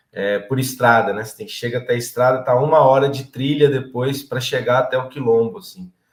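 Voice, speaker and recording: Somewhat breathy, a man at medium pitch talks at a fairly quick pace with hardly any pauses, ordinary pitch variation and big swings in loudness. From interior of São Paulo state, Brazil. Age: 30s. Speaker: political candidate and agronomist. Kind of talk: interview.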